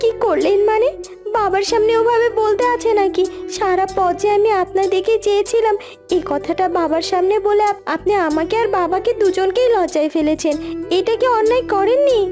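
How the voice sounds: A cartoonish character voice at a moderate pace, with clear music playing in the background. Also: woman, extremely high pitch for a woman.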